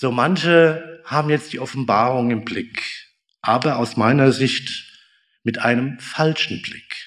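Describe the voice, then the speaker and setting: A man's very slow speech with ordinary pitch variation. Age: 50s. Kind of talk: sermon. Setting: church service, also streamed on Zoom.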